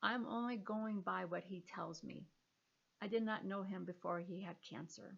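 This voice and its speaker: A woman talks at a medium pitch, a little breathy, her pitch varying in an ordinary way. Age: 60s. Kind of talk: personal testimony monologue.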